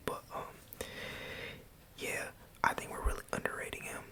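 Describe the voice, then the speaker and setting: A man whispering at a moderate pace amid noticeable background noise. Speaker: college student. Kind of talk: ASMR ramble. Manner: whispered.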